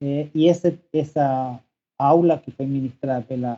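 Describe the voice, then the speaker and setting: With music in the background, a man with a Spanish accent speaks at a fairly slow pace in a fairly high pitch. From Chile, Santiago. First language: Spanish (speaking Portuguese). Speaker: professor. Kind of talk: podcast interview. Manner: halting.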